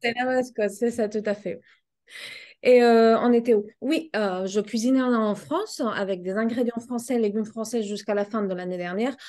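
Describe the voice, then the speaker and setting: A woman's fairly high-pitched voice with a slight Spanish accent, moderate pace and ordinary pitch variation. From Spain. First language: Spanish (speaking French). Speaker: pet food business owner. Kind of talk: interview.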